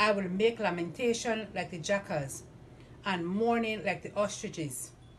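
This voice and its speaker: Somewhat breathy woman's voice at a moderate pace, with ordinary pitch variation and light background noise. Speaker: lay reader. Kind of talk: scripture reading. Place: home room. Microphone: camera far.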